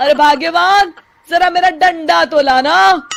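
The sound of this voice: A cartoonish character voice from a woman, extremely high-pitched with a fairly bright tone and vocal fry, slow pace, ordinary pitch variation, faint music in the background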